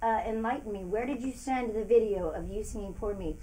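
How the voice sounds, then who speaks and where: With audible room echo, a woman speaks at a moderate pace in a fairly high pitch. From Sonoma County, California. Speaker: country singer. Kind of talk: livestream chat reading viewer comments. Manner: casual, animated.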